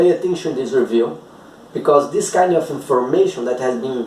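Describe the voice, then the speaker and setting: There is audible room echo as a man talks with a Brazilian Portuguese accent. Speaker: dentist, TMD specialist. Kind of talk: video lecture reviewing guidelines.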